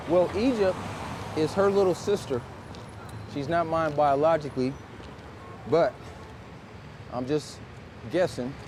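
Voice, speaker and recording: A man with a fairly high pitch speaks at a fairly slow pace, with long, frequent pauses and noticeable background noise. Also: ordinary pitch variation. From US Midwest, St. Louis, Missouri. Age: 60s. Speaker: formerly incarcerated shoe shiner. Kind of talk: casual chat.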